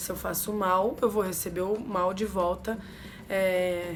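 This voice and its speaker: A woman's voice, with fairly even intonation, carries audible room echo. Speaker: umbanda religious youtuber. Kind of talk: casual explanatory vlog.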